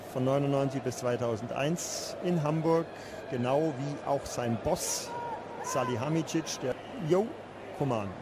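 A man with a fairly high pitch and ordinary pitch variation talks at a very slow pace, with long, frequent pauses and noticeable background noise. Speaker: football commentator. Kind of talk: live football commentary, German, describing chances and goals as they happen.

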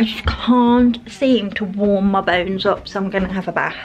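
A woman's voice shows ordinary pitch variation, with light background noise present. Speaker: vlogger. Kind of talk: casual vlog chat. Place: bathroom. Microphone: phone near.

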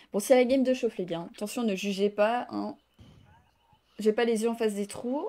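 Speaking at a moderate pace, a woman with a dark, mellow tone leaves long, frequent pauses. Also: ordinary pitch variation. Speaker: video game streamer. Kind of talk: live gaming stream with chat. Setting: online voice chat with teammates. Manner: animated.

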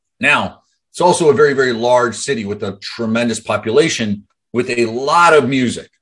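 Fairly quick speech from a man, with ordinary pitch variation. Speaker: business coach. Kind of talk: motivational talk on a group call. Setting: video call. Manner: casual, animated. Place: home room. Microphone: webcam.

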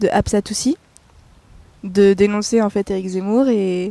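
Her sound dry and close with no echo, a woman talks at a fairly slow pace in a dark, mellow tone with vocal fry and ordinary pitch variation.

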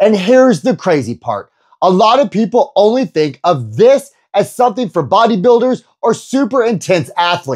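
Very wide pitch swings mark this man's speech at a moderate pace. The background is quiet. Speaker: personal trainer. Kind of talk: energetic youtube explainer. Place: home room. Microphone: lapel.

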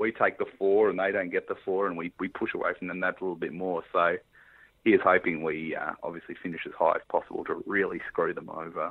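A man with an Australian accent talks at a very fast pace. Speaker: football blogger and podcast co-host. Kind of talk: casual chat.

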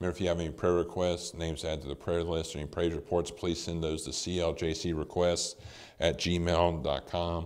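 A man speaks at a moderate pace with a very deep, low pitch. His intonation stays monotone and flat. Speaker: church announcer. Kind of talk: announcements. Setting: online service recorded at a house. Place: church.

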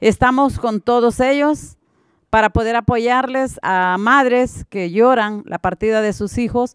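Against a quiet background, a woman talks at a very slow pace with a fairly high pitch and ordinary pitch variation in a dry sound with no echo. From Honduras. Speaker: mother of missing migrant, activist. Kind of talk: panel discussion. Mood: earnest, heartfelt. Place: hall. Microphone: podium.

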